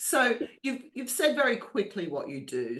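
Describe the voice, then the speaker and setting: The speaker has an Australian accent. The pace is moderate. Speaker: podcast host. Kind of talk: interview. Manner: animated.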